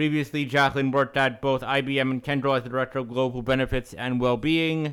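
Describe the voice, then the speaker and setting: Recorded very cleanly against a silent background, a man speaks at a medium pitch in a flat, monotone delivery. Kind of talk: podcast interview. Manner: halting, repeats words.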